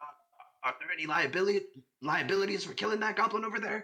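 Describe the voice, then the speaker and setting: Someone speaks very fast in a put-on character voice with a fairly high pitch. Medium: actual play. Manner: stammering, scatterbrained.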